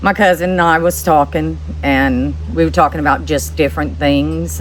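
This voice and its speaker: A woman with an American accent, her pitch swinging very widely, over noticeable background noise. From New Orleans, Louisiana. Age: 60s. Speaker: widow sharing life story. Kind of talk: interview, personal testimony. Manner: halting, with fillers and repeats.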